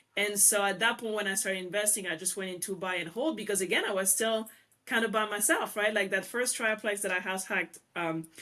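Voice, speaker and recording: A woman speaks at a fairly quick pace in a French accent. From France. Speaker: real estate investor. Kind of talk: interview.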